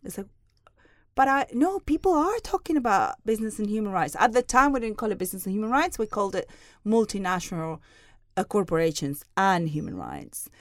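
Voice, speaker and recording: Very wide pitch swings at a fairly quick pace. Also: woman, fairly high pitch for a woman, very clean recording, silent background. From southern Spain (Seville). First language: Spanish. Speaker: human rights lecturer. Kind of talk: casual chat. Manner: halting.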